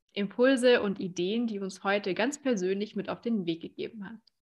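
An unremarkable speaking voice from a woman, medium-pitched and moderately paced, its intonation fairly even. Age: young. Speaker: podcast host and speaker. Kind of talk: interview.

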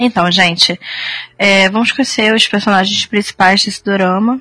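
A woman with a medium pitch talks at a fairly quick pace, recorded dry and close with no echo but with noticeable background noise. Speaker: podcast co-host. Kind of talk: casual chat.

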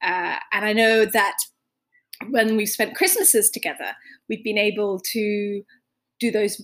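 A woman talks at a fairly slow pace in a plain, everyday voice, fairly high in pitch with fairly even intonation. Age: 30s. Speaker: podcast host speaking to a family member abroad. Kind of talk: casual monologue.

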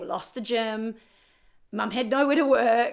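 On a very clean recording with a silent background, a woman with a New Zealand accent speaks at a moderate pace in a fairly high voice. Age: 40s. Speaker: personal trainer. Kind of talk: casual interview conversation.

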